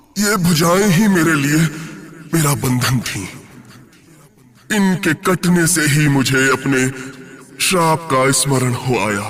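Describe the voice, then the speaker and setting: Using a put-on character voice, a man speaks at a fairly slow pace with a fairly high pitch. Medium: audio drama.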